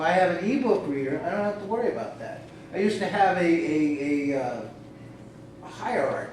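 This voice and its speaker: A man at a moderate pace with lively intonation, audible room echo and noticeable background noise. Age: 60s. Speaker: reader on a convention panel. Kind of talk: panel discussion.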